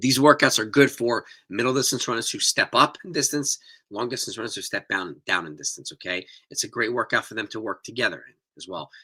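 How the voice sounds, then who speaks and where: In a very clean recording with a silent background, a man uses a raspy, put-on character voice at a medium pitch and a fairly quick pace. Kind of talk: coaching, instructional.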